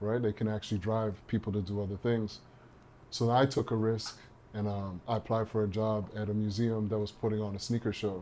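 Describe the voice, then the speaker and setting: A man's dark, mellow, fairly low voice in a Trinidadian accent, fairly quick and monotone with flat intonation. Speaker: partnerships and marketing professional. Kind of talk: podcast interview.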